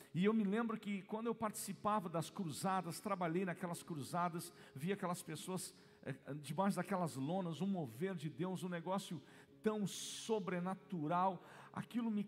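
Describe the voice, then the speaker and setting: His voice is high and shows ordinary pitch variation. The man keeps to a moderate pace. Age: 40s. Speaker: pastor. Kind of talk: sermon. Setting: church.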